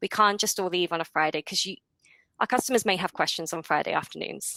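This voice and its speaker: A woman talks at a very fast pace in a fairly low pitch, with ordinary pitch variation. Her tone is bright and sharp, and the sound is dry and close with no echo. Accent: non-native. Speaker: support team manager. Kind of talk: webinar presentation.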